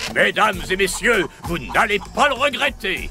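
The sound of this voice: In a cartoonish character voice, a man uses a high pitch with big swings, vocal fry and a bright, sharp tone over faint music in the background. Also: moderate pace.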